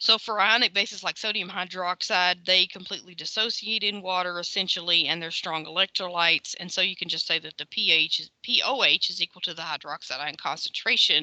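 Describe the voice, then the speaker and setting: Speaking at a fairly quick pace with hardly any pauses, a woman uses a bright, sharp tone at medium pitch with ordinary pitch variation. The recording is dry and close, with no echo. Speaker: chemistry lecturer. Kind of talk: lecture. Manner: fast; casual, filler-heavy.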